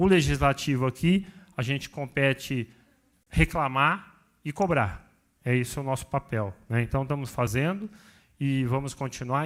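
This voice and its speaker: A normal speaking voice from a man at medium pitch and a moderate pace, on a very clean recording with a silent background. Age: 60s. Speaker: city councillor. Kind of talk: TV interview; committee meeting closing remarks.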